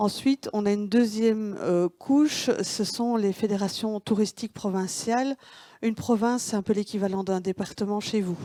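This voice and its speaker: The voice has a Belgian accent, a dark, mellow tone and ordinary pitch variation at a moderate pace. The sound is dry and close with no echo, in a very clean recording with a silent background. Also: woman. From Belgium, Wallonia. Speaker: tourism consultant. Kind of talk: conference presentation. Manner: halting, many hesitations.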